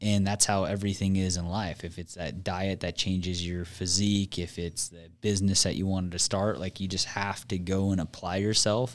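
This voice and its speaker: This man's pitch sits very deep and low, and he delivers his words at a fairly quick clip with fairly even intonation. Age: 20s. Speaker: business owner. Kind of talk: casual chat.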